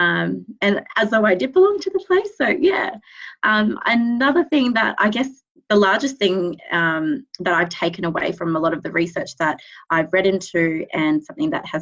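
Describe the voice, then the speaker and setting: Speaking with an Australian accent at a moderate pace, a woman with a medium pitch makes very wide pitch swings. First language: Cambodian. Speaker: speech pathologist. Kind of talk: interview. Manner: hesitant, many fillers.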